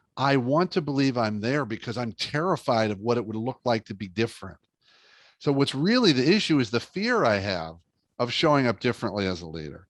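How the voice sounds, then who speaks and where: A man with a plain, everyday voice at a medium pitch and a fairly quick pace, in a quiet background. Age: 60s. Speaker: leadership speaker and author. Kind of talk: interview podcast conversation.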